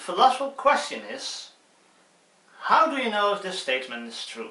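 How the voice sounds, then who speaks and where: A man with a Dutch accent speaks in a raised, projected voice, and the room echo is audible. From Netherlands. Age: 20s. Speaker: student YouTuber. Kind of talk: casual tutorial. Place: home room. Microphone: phone near.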